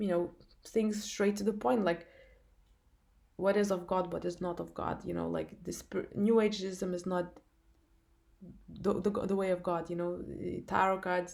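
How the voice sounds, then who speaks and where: A woman's medium-pitched voice in a non-native accent, monotone and flat, at a fairly slow pace with long, frequent pauses. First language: not English. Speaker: spiritual testimony vlogger. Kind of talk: testimony. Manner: halting, many fillers and restarts.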